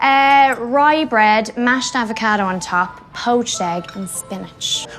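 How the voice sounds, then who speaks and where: Music plays behind a woman with a strong Irish accent who sounds cheerful. Her fairly high pitch varies in an ordinary way, and she talks at a fairly slow pace. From Ireland. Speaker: actress. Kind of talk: interview answer.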